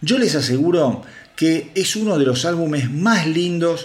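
This man's intonation is lively as he talks fairly slowly. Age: 50s. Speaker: rock news podcast host. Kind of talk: solo news podcast monologue. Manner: animated, with many hesitations.

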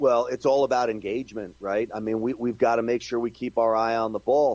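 A man speaks in a normal speaking voice at a medium pitch. The sound is dry and close, with no echo. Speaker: political pundit. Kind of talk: interview.

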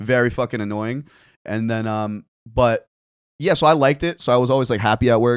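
A man with a plain, everyday voice, medium pitch and ordinary pitch variation at a fairly quick pace, in a dry, close sound with no echo and a very clean recording with a silent background. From New Jersey (Fort Lee), born in Korea. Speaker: bartender and content creator. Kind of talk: casual chat.

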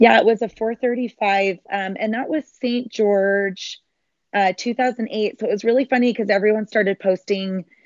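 A woman with a Utah accent, fairly high-pitched, at a moderate pace with fairly even intonation. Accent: American (Utah). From Utah, Salt Lake City area. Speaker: marathon runner and triathlete. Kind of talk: interview.

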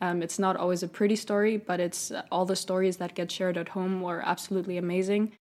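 Speaking at a medium pitch, a woman races along at a very fast pace with hardly any pauses and monotone, flat intonation. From Switzerland. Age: 20s. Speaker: entrepreneur. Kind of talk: interview.

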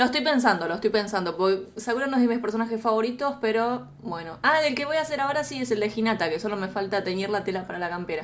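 Racing along at a very fast pace with hardly any pauses, a woman speaks at a fairly high pitch with ordinary pitch variation. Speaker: YouTuber guest, hair dye tutorials. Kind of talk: casual chat on live stream.

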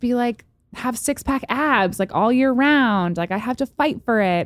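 On a very clean recording with a silent background and a dry, close sound with no echo, a woman with an unremarkable speaking voice talks at a moderate pace with lively intonation. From upstate New York. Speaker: model and skincare entrepreneur. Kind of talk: casual interview chat.

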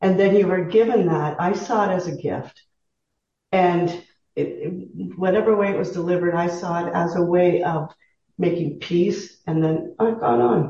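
With a Canadian accent, a woman speaks at a moderate pace and a fairly low pitch, her tone dark, mellow and somewhat breathy, her intonation fairly even. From Southern Ontario, Canada. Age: 60s. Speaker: retired teacher, interview guest. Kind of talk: casual interview.

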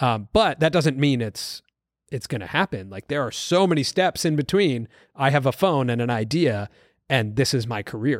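A plain, everyday voice with an American accent comes through at a moderate pace. The intonation is lively. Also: man, medium pitch for a man. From US West Coast, Los Angeles. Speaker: creator economy commentator. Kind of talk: casual chat.

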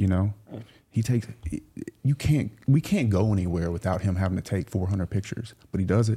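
A fairly low-pitched man with a Southern US accent, a somewhat breathy, dark, mellow tone, ordinary pitch variation and a fairly quick pace. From US South, South Louisiana. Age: 30s. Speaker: entrepreneur. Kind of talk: casual chat.

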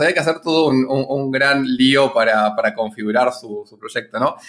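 Fairly quick delivery in an unremarkable speaking voice. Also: man. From Argentina. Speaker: startup founder. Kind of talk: interview.

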